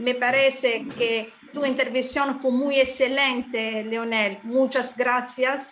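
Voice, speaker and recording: With a non-native accent, a woman with a high voice speaks very slowly in a flat monotone with hardly any pauses, amid audible room echo and noticeable background noise. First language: not Spanish (speaking Spanish). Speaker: conference moderator. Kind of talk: conference moderation, thanks and summary. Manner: halting, many fillers.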